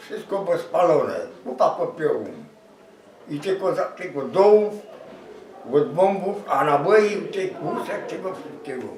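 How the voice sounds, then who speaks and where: Both audible room echo and noticeable background noise surround a man's voice. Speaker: war witness. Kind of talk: interview testimony. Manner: halting.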